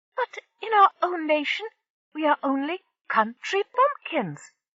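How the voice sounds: A squeaky, put-on character voice at an extremely high pitch moves at a fairly slow pace with very wide pitch swings.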